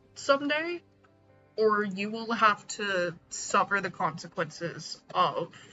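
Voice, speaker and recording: Music plays in the background. A woman with a fairly high pitch speaks with lively intonation. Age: 30s. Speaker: streamer. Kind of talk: casual chat. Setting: live stream.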